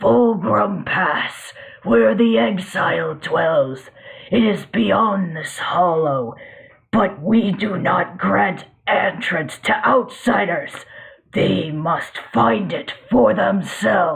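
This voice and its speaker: Growling at a middle pitch, the put-on character voice moves at a very slow pace. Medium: audio drama. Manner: booming, formal.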